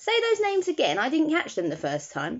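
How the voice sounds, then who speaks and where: At a fairly quick pace, a put-on character voice comes out squeaky and high-pitched. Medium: read story.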